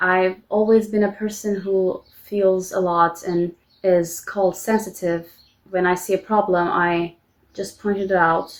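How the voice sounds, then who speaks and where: Speaking at a fairly slow pace in a Turkish accent, a woman holds a medium pitch with monotone, flat intonation. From Turkey. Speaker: vlogger. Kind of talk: personal vlog confession. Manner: halting.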